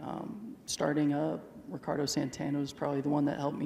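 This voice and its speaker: A man with a fairly high pitch and fairly even intonation at a fairly quick pace, amid light background noise and audible room echo. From Texas. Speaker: jockey; interviewee. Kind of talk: live interview with audience. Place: stadium. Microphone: handheld.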